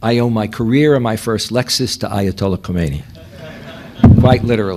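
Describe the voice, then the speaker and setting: Medium-pitched man talking at a fairly quick pace with ordinary pitch variation amid noticeable background noise. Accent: New York. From New York. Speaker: professor. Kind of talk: lecture.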